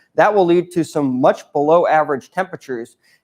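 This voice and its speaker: In an American accent, an unremarkable speaking voice talks at a moderate pace with ordinary pitch variation over a quiet background. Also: man. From Connecticut. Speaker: student meteorologist. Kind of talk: weather forecast.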